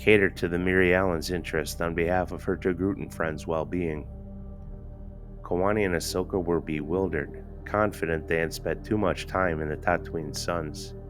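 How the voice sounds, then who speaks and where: Over music in the background, a man with a very deep, low pitch talks at a moderate pace with fairly even intonation. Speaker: amateur audiobook narrator. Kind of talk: fan audiobook reading. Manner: some stuttering and stammering.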